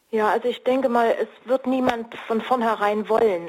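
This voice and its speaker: A woman's fairly high voice at a moderate pace, over noticeable background noise. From East Germany. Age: 60s. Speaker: marriage counselor and coach. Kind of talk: radio interview. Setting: remote line.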